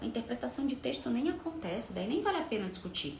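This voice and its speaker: A woman's fairly high voice with very wide pitch swings and an animated tone, in a Rio de Janeiro accent, with audible room echo and noticeable background noise. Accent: Rio de Janeiro (carioca), noticeable. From Rio de Janeiro, Brazil. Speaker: workshop presenter and coach. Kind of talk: live online workshop. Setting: video call livestream.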